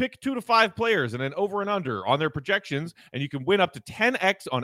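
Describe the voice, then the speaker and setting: A man speaks with very wide pitch swings and a bright, sharp, animated and upbeat tone, recorded very cleanly against a silent background with a dry, close sound and no echo. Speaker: podcast host. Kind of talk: sports podcast discussion. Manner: animated, upbeat.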